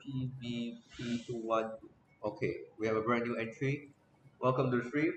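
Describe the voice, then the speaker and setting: Amid noticeable background noise, a man talks at a moderate pace and medium pitch in a monotone, flat delivery broken by long, frequent pauses. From Singapore. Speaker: esports streamer hosting a watch party. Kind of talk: live stream commentary and chat.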